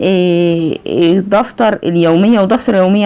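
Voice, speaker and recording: Speaking with an Egyptian accent, a woman talks at a moderate pace in a medium pitch. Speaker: accounting teacher. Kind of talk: lecture.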